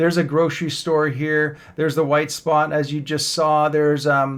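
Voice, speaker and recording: With a Canadian accent, a man speaks at a moderate pace in a fairly high voice that stays monotone and flat. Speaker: real estate agent. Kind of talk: map tour tutorial. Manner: casual with fillers.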